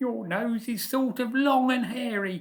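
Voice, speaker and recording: A female-sounding put-on character voice speaks at a fairly slow pace. The pitch sits fairly high. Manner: finally blunt, sassy.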